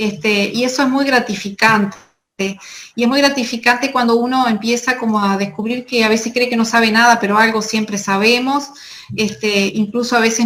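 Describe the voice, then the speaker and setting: A woman with a Uruguayan accent speaks at a moderate pace in a fairly high pitch, her intonation monotone and flat, over noticeable background noise. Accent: Rioplatense Spanish (Uruguayan). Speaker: nutritionist. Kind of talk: conference talk.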